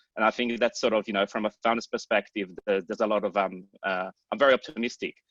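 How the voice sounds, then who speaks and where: A man with an Australian accent at a fairly low pitch, very fast pace and fairly even intonation, in a dry, close sound with no echo over a quiet background. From Australia, Sydney. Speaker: startup founder and CEO. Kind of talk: panel introduction on video call.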